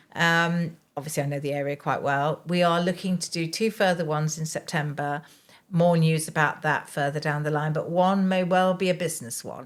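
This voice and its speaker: In a very clean recording with a silent background, a woman with an English accent speaks at a moderate pace, her pitch fairly low and her intonation fairly even. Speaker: care consultant. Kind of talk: interview. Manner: hesitant.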